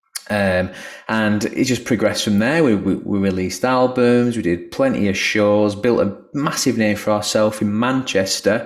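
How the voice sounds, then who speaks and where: A man's fairly low voice at a moderate pace, with very even loudness and fairly even intonation. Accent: Lancashire. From northern England, Lancashire. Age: 40s. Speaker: musician. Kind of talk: video call presentation.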